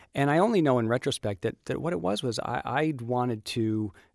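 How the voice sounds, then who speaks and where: The speaker is a man with an American accent. He has a plain, everyday voice with ordinary pitch variation. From US. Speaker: TV writer and producer. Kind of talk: interview. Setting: studio.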